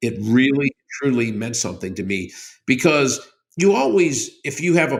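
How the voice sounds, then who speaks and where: A man with an unremarkable speaking voice speaks at a fairly quick pace with ordinary pitch variation. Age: 60s. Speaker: company CEO. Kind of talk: interview.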